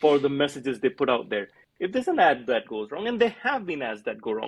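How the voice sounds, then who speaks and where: Lively intonation marks the fairly high-pitched voice of a man with an Indian accent. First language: Hindi. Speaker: airline brand strategist and author. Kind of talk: casual chat.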